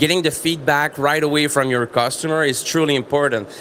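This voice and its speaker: Fairly high-pitched man with a Quebec accent, fairly quick pace, noticeable background noise. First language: French. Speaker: business presenter. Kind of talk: trade fair presentation.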